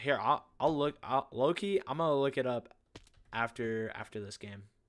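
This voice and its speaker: A very clean recording over a silent background captures a man speaking at a moderate pace with ordinary pitch variation. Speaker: gaming livestreamer. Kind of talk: live gameplay commentary. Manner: loud; animated.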